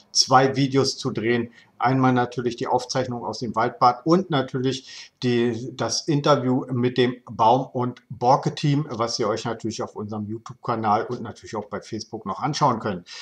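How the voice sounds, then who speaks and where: At a moderate pace, a man speaks with a somewhat breathy voice, fairly even intonation and hardly any pauses. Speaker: local news video host. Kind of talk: local news presentation. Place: home room. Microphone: webcam.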